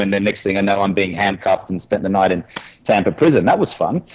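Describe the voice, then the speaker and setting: A man with an Australian accent and a fairly low pitch. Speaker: podcast guest, former drinker. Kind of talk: interview conversation. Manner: animated storytelling.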